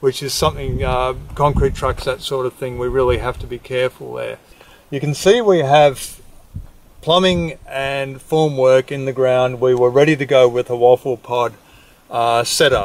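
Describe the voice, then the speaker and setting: A man with an Australian accent speaks at a moderate pace in a medium pitch, his intonation fairly even. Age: 50s. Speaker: industrial designer and home builder. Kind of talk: casual video diary.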